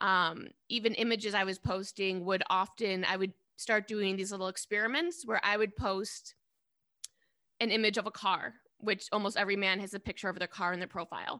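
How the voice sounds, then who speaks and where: Her voice is bright and sharp in tone, medium in pitch, with fairly even intonation at a moderate pace. This woman is heard on a very clean recording with a silent background. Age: 30s. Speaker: artist and dating app activist. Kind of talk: interview.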